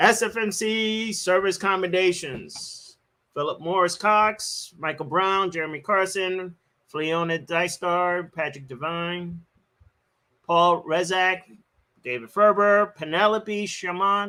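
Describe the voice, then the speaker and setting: Very slowly, a man projects a raised voice that is high-pitched, bright and sharp in tone, with ordinary pitch variation. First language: not English. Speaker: event host reading award lists. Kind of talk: awards ceremony livestream. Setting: live stream.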